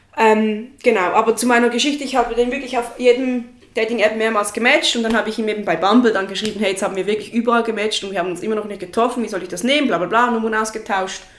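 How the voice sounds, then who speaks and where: Over noticeable background noise, a woman with a fairly high voice talks very fast, with hardly any pauses. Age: 20s. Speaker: friend of the host. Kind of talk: casual chat. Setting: sitting on the floor in her living room.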